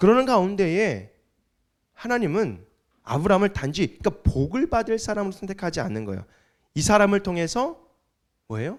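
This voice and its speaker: Speaking at a high pitch and fairly quick pace, a man leaves long, frequent pauses on a very clean recording with a silent background. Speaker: pastor. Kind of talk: sermon. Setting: church service with congregation. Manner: conversational, with fillers.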